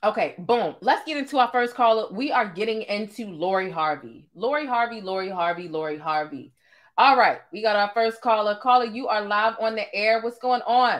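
A woman talks at a moderate pace with hardly any pauses. The background is quiet. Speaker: live stream host. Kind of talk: casual live show chat. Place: home room.

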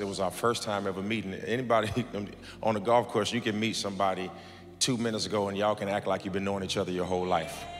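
A man speaks at a very fast pace with a fairly low pitch. His intonation stays monotone and flat. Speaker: pastor. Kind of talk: sermon. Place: church. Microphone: handheld.

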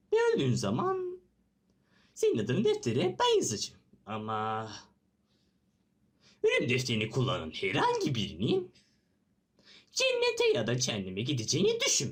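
The put-on character voice is broken up by long, frequent pauses. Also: moderate pace. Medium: dub.

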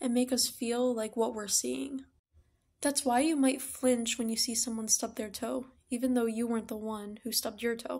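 Against a quiet background, a woman speaks at a high pitch. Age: young. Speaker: psychology student, educational content creator. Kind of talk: casual educational talk to camera. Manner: friendly, upbeat. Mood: friendly, upbeat. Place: home room. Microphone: phone near.

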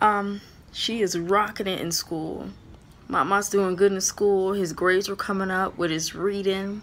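The intonation is monotone and flat. A woman delivers the words at a fairly slow pace. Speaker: ministry vlogger. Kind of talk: casual vlog chat. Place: home room. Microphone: phone near.

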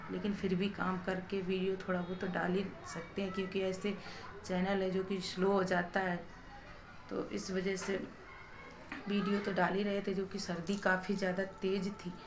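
The speech moves at a moderate pace with little pitch movement, over clear background noise. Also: woman, medium pitch for a woman.

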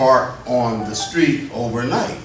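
With an American accent, a man talks at medium pitch and fairly even intonation amid audible room echo and noticeable background noise. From Plainfield, New Jersey. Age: 70s. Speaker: resident speaking at public comment. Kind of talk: public comment at council meeting. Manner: hesitant, many fillers.

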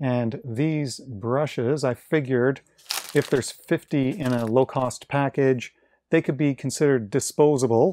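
A man with ordinary pitch variation, in a dry sound with no echo and light background noise. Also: fairly slow pace. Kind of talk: casual product unboxing commentary. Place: workshop.

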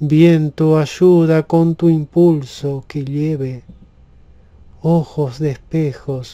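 The tone is dark and mellow, with fairly even intonation. The pace is very slow. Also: man. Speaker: poet reading own poem. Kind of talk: poetry reading aloud, calm and relaxing. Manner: slow, soft-spoken, soothing.

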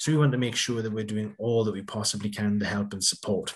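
A man with a South Welsh accent speaks at a fairly quick pace in an enthusiastic tone. His voice is somewhat breathy. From South Wales, Swansea; Wales. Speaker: university academic director; presenter. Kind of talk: presentation. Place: home room. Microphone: video call.

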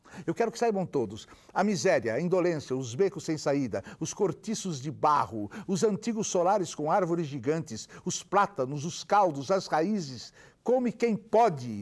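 The background is quiet as a man speaks in a high pitch with very wide pitch swings. His pace is fairly slow, with hardly any pauses. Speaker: poet reading aloud. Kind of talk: poetry reading aloud, an indignant satirical poem delivered as a public protest. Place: studio.

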